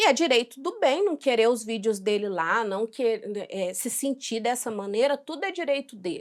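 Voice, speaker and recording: This woman's voice is high in pitch, with very wide pitch swings. She keeps a moderate pace. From Brazil, Minas Gerais. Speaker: react youtuber. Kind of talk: reaction video commentary. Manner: casual, conversational.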